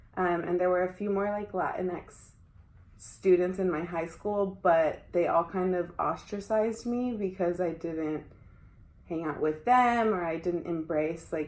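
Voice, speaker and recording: A woman with a fairly low voice and an unremarkable speaking voice talks at a fairly slow pace, with ordinary pitch variation. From US, Mexican-American family. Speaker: education student. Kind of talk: casual interview. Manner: casual, many fillers.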